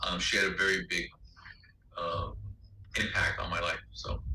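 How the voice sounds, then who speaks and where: Audible room echo hangs around the voice. The speaker is a man. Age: 60s. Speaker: lecturer / instructor. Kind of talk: lecture. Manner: halting, many fillers.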